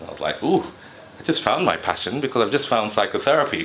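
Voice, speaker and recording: A man talks very fast while noticeable background noise runs under his speech. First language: another dialect besides English. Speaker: psychotherapist and mental health channel host. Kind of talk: personal storytelling monologue. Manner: rising and falling intonation; speaks fast when excited.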